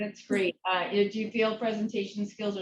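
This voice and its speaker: Speaking fairly quickly, the woman has an American accent. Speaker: interviewer. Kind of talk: interview. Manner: fast.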